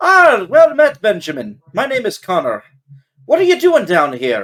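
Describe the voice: Doing a put-on character voice in an Irish accent, a man speaks at a moderate pace with an extremely high, shaky pitch.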